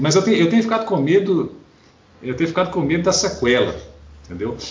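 The voice moves through very wide pitch swings. Room echo is audible. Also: man. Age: 40s. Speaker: podcast co-host, lawyer. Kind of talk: casual chat.

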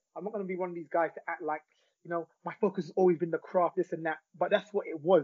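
Fairly even intonation shapes the high-pitched voice of a man. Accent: London. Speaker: celebrity barber and author. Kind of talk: interview conversation.

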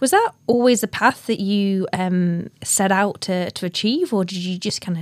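A woman with a northern English accent speaks at a moderate pace with hardly any pauses. Her medium-pitched voice has fairly even intonation. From northern England. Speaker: podcast host. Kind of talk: interview.

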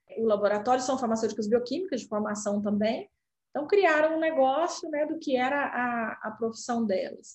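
Her intonation lively and her voice somewhat breathy, a woman speaks at a fairly high pitch and a moderate pace. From Brazil, Minas Gerais. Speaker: healthcare company CEO. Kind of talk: interview.

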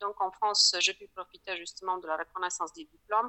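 Speaking with a Polish accent, a woman keeps a medium pitch, a moderate pace and fairly even intonation. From Poland. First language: Polish (speaking French). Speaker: lawyer. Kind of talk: interview. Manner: hesitant, many fillers.

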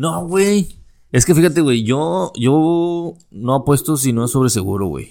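A man with a Mexican accent speaks fairly slowly at a medium pitch, his dark, mellow tone moving through very wide pitch swings in a very clean recording with a silent background. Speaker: podcast host. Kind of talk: casual chat.

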